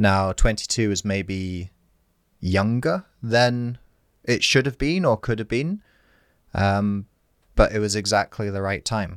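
Very slow and broken by long, frequent pauses, a man's fairly low voice shows ordinary pitch variation on a very clean recording with a silent background and a dry, close sound with no echo. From Scotland, Aberdeenshire. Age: 20s. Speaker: inspirational speaker and author. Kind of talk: casual interview chat.

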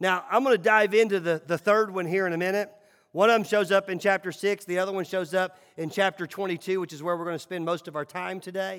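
Talking at a very fast pace, a man with a Southern US accent uses a high pitch and fairly even intonation. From Tennessee, Nashville. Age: 40s. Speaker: pastor. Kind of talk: sermon.

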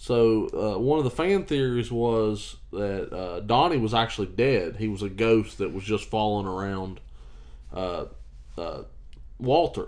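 In an American accent, a man uses a plain, everyday voice at medium pitch, speaking at a fairly slow pace with ordinary pitch variation. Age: 20s. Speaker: podcast co-host. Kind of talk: casual chat. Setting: on a couch.

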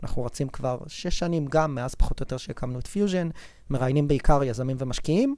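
Talking at a very fast pace, a man with a fairly high pitch and dark, mellow tone shows ordinary pitch variation. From Israel, Rishon LeZion. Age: 30s. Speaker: venture capital investor. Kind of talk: interview.

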